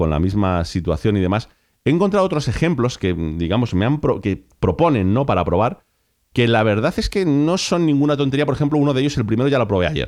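With an animated tone and very wide pitch swings, a man speaks at a fairly quick pace against a quiet background. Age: 40s. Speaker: podcast host. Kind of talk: solo podcast monologue.

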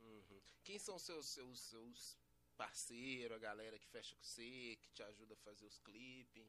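Here a man speaks fairly slowly in a bright, sharp tone. His loudness swings widely while his pitch varies in an ordinary way. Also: medium pitch for a man. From Belo Horizonte, Brazil. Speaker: podcast host and MC. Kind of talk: casual interview chat. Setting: studio.

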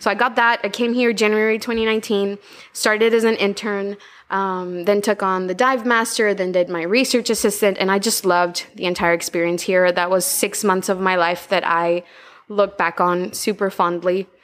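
Moderate pace and fairly even intonation with a Spanish accent, on a very clean recording with a silent background. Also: woman, medium pitch for a woman. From Honduras, Tegucigalpa. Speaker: marine biologist and outreach coordinator. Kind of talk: interview.

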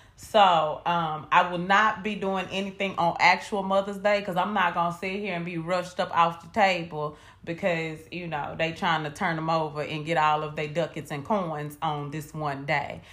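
A woman with an American accent and a fairly low voice talks at a moderate pace with hardly any pauses and big swings in loudness, with audible room echo. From US South. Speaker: podcast co-host. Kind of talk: casual chat. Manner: animated.

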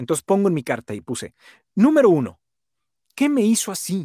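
A man speaks at a high pitch with very wide pitch swings. The recording is very clean with a silent background, and the sound is dry and close with no echo. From Monterrey, Nuevo León, northern Mexico. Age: 40s. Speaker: voice-over announcer and sales trainer. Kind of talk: casual interview chat.

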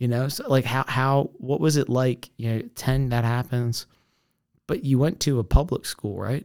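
A man with an American accent speaks at a moderate pace, his medium pitch showing ordinary variation. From Maryland, Essex near Baltimore. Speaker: podcast host. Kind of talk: casual chat. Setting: studio.

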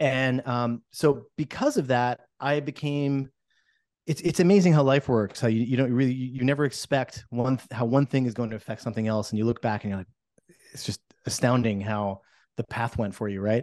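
In a plain, everyday voice with an American accent, a man speaks at a moderate pace and medium pitch with ordinary pitch variation, the sound dry and close with no echo against a quiet background. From US Northeast, New Jersey. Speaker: real estate broker and former musician. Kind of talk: podcast interview.

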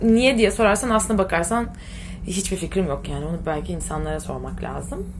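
A woman speaks at a fairly quick pace. Room echo is audible, and there is noticeable background noise. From Turkey, Ortaca (Muğla). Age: 20s. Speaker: fashion entrepreneur. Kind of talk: casual interview. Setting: office. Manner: hesitant, many fillers.

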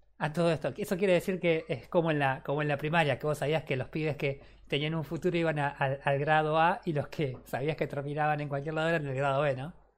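The speaker talks at a very fast pace with hardly any pauses, in a Rioplatense accent. The intonation stays fairly even. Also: man, fairly high pitch for a man, very clean recording, silent background. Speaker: gaming podcast host. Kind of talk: casual chat.

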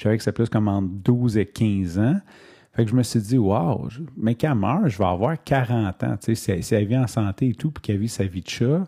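A man with a Quebec accent speaks in a fairly low, dark, mellow, somewhat breathy voice with ordinary pitch variation, dry and close with no echo, on a very clean recording with a silent background. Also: moderate pace. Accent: Québécois French. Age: 30s. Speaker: podcaster. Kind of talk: personal monologue. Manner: hesitant, many fillers.

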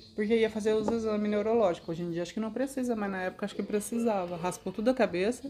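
A woman's fairly high voice, very fast and with hardly any pauses, in fairly even intonation. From Brazil, Mato Grosso (Cáceres). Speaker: host's mother, interviewee. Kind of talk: casual chat, life story.

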